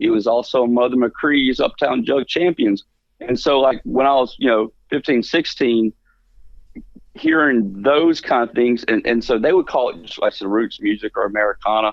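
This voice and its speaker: A man with a Mississippi accent speaks at a medium pitch and moderate pace, with ordinary pitch variation. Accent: US Southern (Mississippi). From Mississippi Delta. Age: 40s. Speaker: musician. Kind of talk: radio interview. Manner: casual with many fillers.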